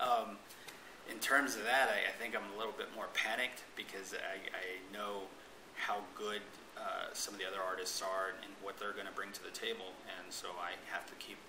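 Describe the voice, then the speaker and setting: In a room with audible echo and noticeable background noise, a man speaks at a moderate pace with a fairly low pitch and fairly even intonation. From Navajo Nation, US Southwest. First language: Navajo. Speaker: painter. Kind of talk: interview. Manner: halting, many fillers and repeats.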